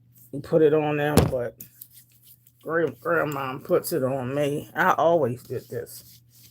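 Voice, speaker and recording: Against noticeable background noise, a woman with a very deep, low pitch and ordinary pitch variation speaks very slowly. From Delaware. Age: 60s. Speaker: lifestyle vlogger. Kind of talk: casual livestream chat with viewers. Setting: at home on camera. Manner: chatty, informal.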